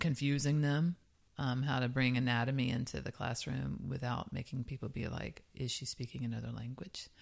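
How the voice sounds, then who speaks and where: This woman's voice sits at a very deep, low pitch, with vocal fry and fairly even intonation. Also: moderate pace. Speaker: podcast co-host; yoga teacher.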